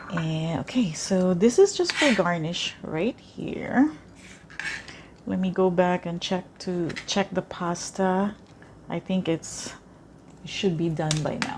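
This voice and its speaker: The speaker, in a Filipino accent, talks at a very slow pace with long, frequent pauses and ordinary pitch variation. Noticeable background noise runs underneath. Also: woman, medium pitch for a woman. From Philippines. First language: Tagalog. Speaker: cooking vlogger. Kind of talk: cooking tutorial. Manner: hesitant, many fillers.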